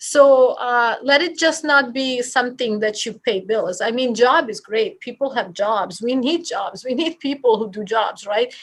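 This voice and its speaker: A woman with a Bosnian accent speaks at a high pitch and a fairly slow pace, with hardly any pauses. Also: ordinary pitch variation. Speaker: real estate office leader. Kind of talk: podcast interview. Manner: animated.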